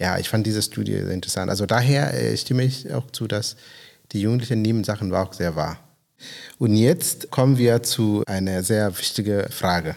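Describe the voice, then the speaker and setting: A man with a non-native accent speaks at a moderate pace. His pitch is fairly low, with ordinary variation. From Kenya. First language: not German (speaking German). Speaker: podcast host. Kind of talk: casual interview. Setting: on location in a guest house. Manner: halting.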